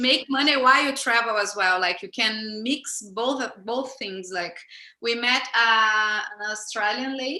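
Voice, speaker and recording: With a Portuguese accent, a woman talks fairly slowly in a fairly high, bright and sharp voice with ordinary pitch variation. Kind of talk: casual talk on a livestream.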